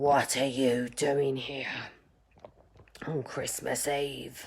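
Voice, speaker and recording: At a very slow pace, someone uses a put-on character voice with a low-to-middle pitch. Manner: stern.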